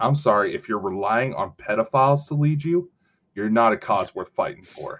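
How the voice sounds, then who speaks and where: A man with a General American accent and an ordinary speaking voice talks at a moderate pace with a medium pitch, lively intonation, and big swings in loudness. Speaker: podcast co-host. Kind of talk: casual banter, chat. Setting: online stream with live chat. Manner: casual, joking, swears.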